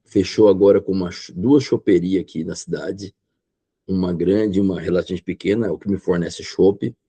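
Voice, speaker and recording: At a moderate pace, a man with a very deep, low pitch and a dark, mellow tone keeps fairly even intonation, with big swings in loudness and a dry, close sound with no echo. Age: old. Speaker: restaurant owner. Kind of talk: podcast interview.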